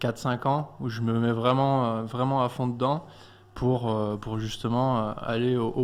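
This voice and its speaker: This man talks at a fairly slow pace in a monotone, flat intonation. His pitch sits in the medium range. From France (Clermont-Ferrand, Auvergne). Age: 20s. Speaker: athlete. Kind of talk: radio interview. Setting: studio. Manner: hesitant.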